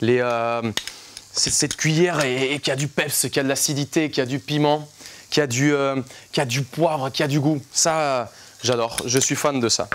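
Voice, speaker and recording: A man with a fairly high pitch talks fairly quickly in an animated tone, broken by long, frequent pauses. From Colombia. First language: Spanish (speaking French). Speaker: chef. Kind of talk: live cooking demonstration. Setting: live studio class.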